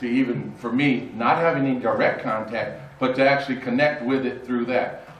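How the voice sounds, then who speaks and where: The speaker has an American accent and keeps a moderate pace. Background noise is noticeable, and the room echo is audible. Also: man. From northern California, Oakland. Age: 60s. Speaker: panel moderator. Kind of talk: panel discussion remarks. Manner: halting, many fillers.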